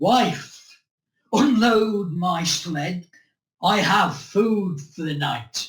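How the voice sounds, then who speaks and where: Someone speaks at a very slow pace in a put-on character voice with a middle pitch. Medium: read story. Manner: curt, commanding.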